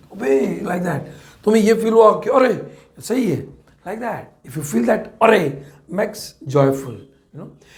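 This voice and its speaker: In an Indian accent, a man talks at a fairly slow pace and a high pitch, with audible room echo. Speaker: chemistry teacher. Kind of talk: lecture. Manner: repetitive.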